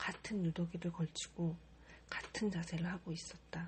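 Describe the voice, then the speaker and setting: A woman speaks softly. Her pitch sits fairly low. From Korea. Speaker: model. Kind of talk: audiobook reading. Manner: soft-spoken.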